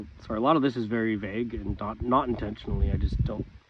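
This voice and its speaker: This man talks with ordinary pitch variation, keeping a moderate pace. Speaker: vlogger. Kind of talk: casual monologue vlog. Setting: outdoors in snow, recorded on phone. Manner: halting, many fillers.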